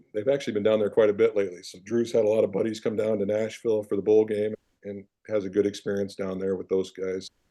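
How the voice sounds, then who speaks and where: Speaking very fast with a Midwestern US accent, a man has a dark, mellow tone and a fairly low pitch. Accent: US Midwest. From Iowa, small town. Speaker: former football player, financial advisor. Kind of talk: interview.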